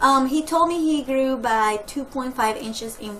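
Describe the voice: Audible room echo surrounds speech at a fairly slow pace with ordinary pitch variation. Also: woman.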